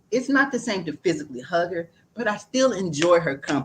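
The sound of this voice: A woman speaks at a fairly low pitch and a fairly quick pace. Her pitch swings widely, with a slightly husky edge.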